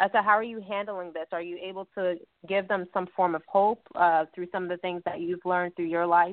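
An enthusiastic woman with a medium-pitched voice at a fairly quick pace. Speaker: evangelist and talk radio host. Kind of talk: radio interview.

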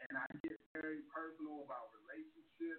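A moderate pace with a slight Baltimore accent. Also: man. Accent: slight Baltimore twang. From Baltimore, Maryland. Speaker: stand-up comedian. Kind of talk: casual interview chat.

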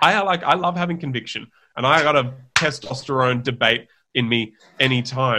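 With an Australian accent, a man speaks at a moderate pace and medium pitch. His tone is animated, bright and sharp. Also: ordinary pitch variation. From Australia, Sydney. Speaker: herbal brand founder. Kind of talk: casual interview chat.

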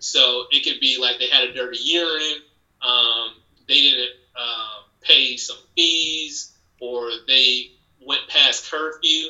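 Here is a man with an ordinary speaking voice. His pitch is fairly high and his intonation fairly even. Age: 30s. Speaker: law enforcement officer. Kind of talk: casual chat.

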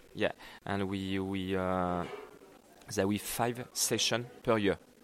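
A man with a French accent speaks very slowly, with long, frequent pauses. His voice is fairly low and his intonation fairly even. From France. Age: 30s. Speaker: executive chef at cooking school. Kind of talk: interview. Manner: halting.

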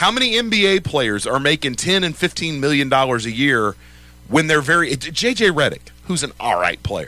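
A man in an American accent speaks at a moderate pace with a fairly high pitch. His tone is bright and sharp, with vocal fry and very wide pitch swings. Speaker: sports radio host. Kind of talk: casual chat. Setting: studio.

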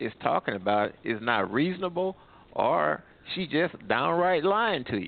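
A man speaks at a fairly slow pace. His pitch makes very wide swings. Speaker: caller. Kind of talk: call-in opinion.

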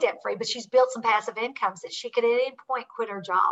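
A bright, sharp tone in a Southern US accent. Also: woman. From Kentucky. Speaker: author and real estate investor. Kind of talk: podcast interview.

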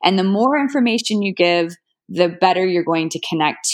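A woman with an unremarkable speaking voice, fairly low in pitch, talks at a fairly quick pace with lively intonation over a quiet background. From Oklahoma, small town. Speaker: app founder, finance professional. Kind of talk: interview.

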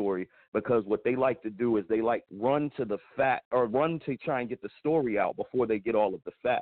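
Speaking with an American accent, a man keeps a medium pitch, a moderate pace and ordinary pitch variation. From Pennsylvania, US. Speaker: hip hop artist and filmmaker. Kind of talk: casual radio interview.

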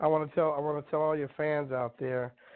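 The speaker is a man. His intonation is monotone and flat. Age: 50s. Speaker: comedian and actor. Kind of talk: casual interview.

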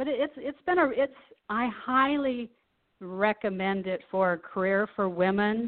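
Using an unremarkable speaking voice, a woman with an American accent talks at a fairly high pitch and a fairly slow pace. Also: lively intonation. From Nebraska. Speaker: commercial real estate broker. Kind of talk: interview.

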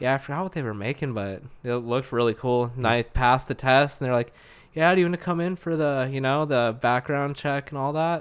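At a fairly quick pace, a man speaks in an unremarkable speaking voice at a medium pitch. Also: ordinary pitch variation. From Arizona, Lake Havasu. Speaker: welder. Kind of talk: casual chat.

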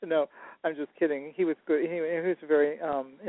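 At a moderate pace, a man talks in a high pitch. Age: 70s. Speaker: paranormal and intuitive guest. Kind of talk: casual interview chat.

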